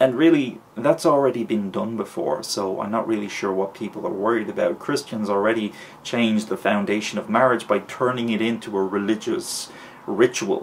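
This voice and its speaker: With noticeable background noise behind him, a man talks at a moderate pace in an Irish accent. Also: medium pitch for a man, ordinary pitch variation. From Ireland. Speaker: vlogger. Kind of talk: opinion vlog. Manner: hesitant with fillers.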